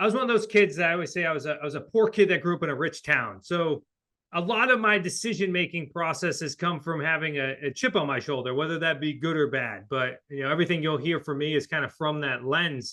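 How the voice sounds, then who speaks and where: With a New England accent, a man speaks at a very fast pace, his pitch fairly high and his intonation lively. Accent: New England accent, noticeable. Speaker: real estate investor and coach. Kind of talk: podcast interview. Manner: casual, filler-heavy.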